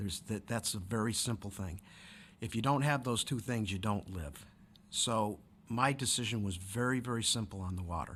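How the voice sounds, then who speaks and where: On a very clean recording with a silent background, a man with an American accent and an unremarkable speaking voice speaks at a fairly low pitch with ordinary pitch variation. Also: moderate pace. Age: 60s. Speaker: city council candidate. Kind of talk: interview.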